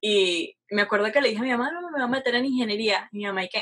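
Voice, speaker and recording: A woman's plain, everyday voice, fairly high-pitched, at a fairly quick pace with ordinary pitch variation. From Venezuela, Caracas. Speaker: aerospace engineering student. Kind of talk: casual interview.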